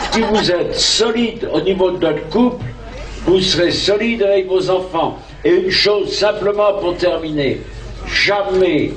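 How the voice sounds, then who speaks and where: Noticeable background noise sits under a man speaking at a very slow pace. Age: 70s. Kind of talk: open-air sermon to a crowd. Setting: outdoors, PA system. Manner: blunt, street-slang, humorous.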